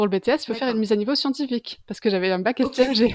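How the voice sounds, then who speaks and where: A very fast woman's voice, fairly high, with ordinary pitch variation and a dry, close sound with no echo. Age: 20s. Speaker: freelance illustrator. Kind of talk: casual interview.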